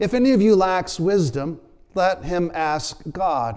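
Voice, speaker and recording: The background stays quiet while a man talks. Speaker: preacher. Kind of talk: sermon, prayer and scripture reading. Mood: earnest, calm. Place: church. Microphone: lapel.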